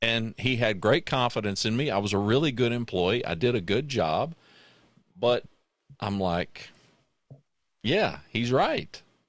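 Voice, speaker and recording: A man speaks at a medium pitch and a fairly slow pace, with lively intonation and long, frequent pauses. The sound is dry with no echo, over a quiet background. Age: 60s. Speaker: podcast host. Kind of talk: casual chat. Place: home room. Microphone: studio mic.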